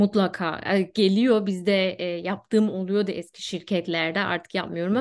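In an unremarkable speaking voice, a woman speaks at a fairly slow pace and medium pitch with fairly even intonation over a quiet background. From Germany (Turkish-German). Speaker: HR specialist; guest. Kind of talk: casual interview. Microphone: video call.

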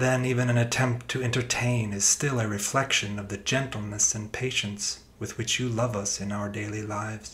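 A solemn tone, fairly even intonation and a moderate pace, with noticeable background noise. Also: man, fairly low pitch for a man. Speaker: reader of prayer. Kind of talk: reading aloud a written prayer, solemn devotional intercession. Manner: solemn, pleading.

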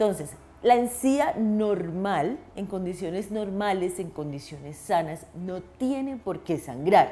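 A woman speaks very slowly at medium pitch, with lively intonation and hardly any pauses. Her loudness swings widely. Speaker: dentist. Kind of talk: health tutorial. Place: office. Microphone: lapel.

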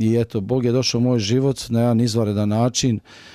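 His voice is medium in pitch with a dark, mellow tone, and the man speaks in a monotone, flat way. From Croatia, Dalmatia (Split area). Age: 40s. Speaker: former kickboxer giving religious testimony. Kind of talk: religious testimony. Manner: fast; halting.

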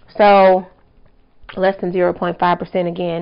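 The background stays quiet. A woman talks. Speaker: product reviewer. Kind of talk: casual vlog review. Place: home room. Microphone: phone near.

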